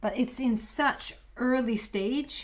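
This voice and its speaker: A woman speaks with a Swedish accent on a very clean recording with a silent background. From Sweden. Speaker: tarot reader. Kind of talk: tarot reading to camera. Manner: halting.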